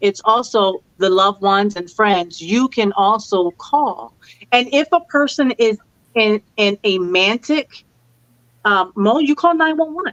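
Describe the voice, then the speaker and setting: With lively intonation and an animated tone, a woman talks fairly slowly at a fairly high pitch, recorded dry and close with no echo. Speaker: grief and life coach. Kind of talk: interview conversation.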